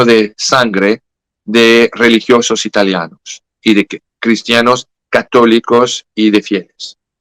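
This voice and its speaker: A very slow voice with a French accent, bright and sharp in tone, in a dry, close sound with no echo. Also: man. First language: French (speaking Spanish). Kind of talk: interview about religious prophecy. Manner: halting, self-correcting.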